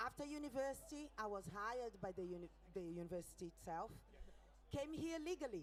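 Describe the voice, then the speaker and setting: With a Brazilian accent, a medium-pitched woman talks at a fairly quick pace, her pitch swinging very widely. Her loudness stays very even over noticeable background noise. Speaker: rally speaker. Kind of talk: public speech.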